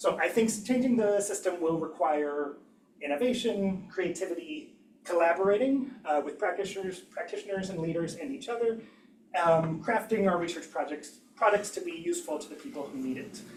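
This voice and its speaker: Amid noticeable background noise and audible room echo, a high-pitched man speaks at a fairly quick pace with lively intonation. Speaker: engineering education researcher. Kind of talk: academic seminar talk. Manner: fast; hesitant, many fillers.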